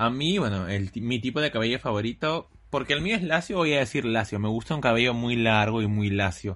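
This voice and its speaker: With an unremarkable speaking voice, a man talks at a fairly quick pace with hardly any pauses, a medium pitch, very even loudness and lively intonation. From Lima, Peru. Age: 20s. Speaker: podcast co-host. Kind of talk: casual chat.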